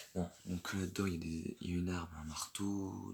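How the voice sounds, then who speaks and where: At a fairly slow pace, a man speaks in a very deep, low pitch with monotone, flat intonation. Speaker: LEGO hobbyist youtuber. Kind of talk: casual show-and-tell. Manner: hesitant, many fillers.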